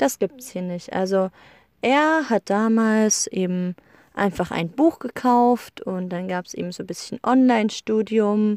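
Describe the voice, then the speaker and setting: A woman talks at a fairly slow pace with a fairly high pitch and ordinary pitch variation. The sound is dry and close, with no echo. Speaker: podcaster. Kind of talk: casual monologue. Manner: hesitant with many fillers.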